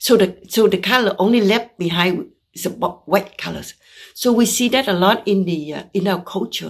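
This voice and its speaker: With a Vietnamese accent, a woman speaks at medium pitch and a moderate pace, her pitch varying in an ordinary way and her loudness swinging widely against a quiet background. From Vietnam (Saigon). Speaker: visual artist. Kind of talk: artist talk presentation. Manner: halting, with fillers.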